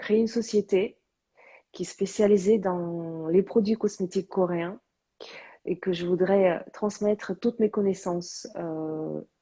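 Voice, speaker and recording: The woman speaks at a very slow pace with a medium pitch. Her tone is dark and mellow, and her intonation stays fairly even. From born outside Korea, third-generation Korean. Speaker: live stream host, cosmetics business owner. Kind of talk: casual live interview. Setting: Instagram live. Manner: hesitant, many fillers.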